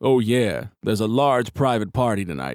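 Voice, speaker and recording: A man's put-on character voice at a medium pitch, lively intonation and moderate pace, on a very clean recording with a silent background. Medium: read story. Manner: gruff.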